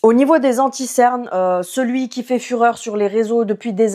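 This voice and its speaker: A woman's fairly high voice with a dark, mellow tone, a moderate pace and fairly even intonation. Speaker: beauty youtuber. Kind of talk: product review. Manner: casual.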